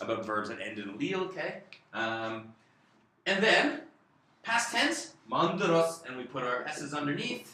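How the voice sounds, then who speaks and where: The intonation is lively. There is audible room echo. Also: man. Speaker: Korean language teacher. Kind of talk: tutorial.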